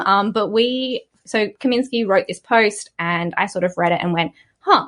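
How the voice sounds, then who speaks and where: A woman with an Australian accent and very wide pitch swings, against a quiet background. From Australia, Sydney. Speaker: software community manager. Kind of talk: podcast interview.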